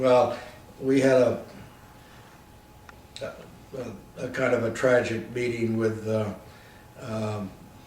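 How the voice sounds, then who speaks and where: A man with an American accent, medium in pitch, monotone and flat, very slow with long, frequent pauses, against noticeable background noise. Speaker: war veteran. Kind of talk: interview answer.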